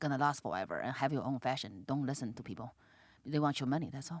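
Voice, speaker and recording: A woman speaks with a Chinese accent. Her tone is animated. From China. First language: Mandarin Chinese. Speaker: comedian. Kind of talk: casual chat. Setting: podcast studio. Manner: halting, many fillers; blunt, animated.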